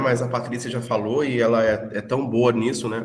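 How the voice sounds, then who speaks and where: There is audible room echo around this man's voice. He has a medium pitch and a Rio de Janeiro accent. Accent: carioca. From Brazil, Rio de Janeiro (until 14). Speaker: teacher. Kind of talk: online lecture. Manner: hesitant, repeats words.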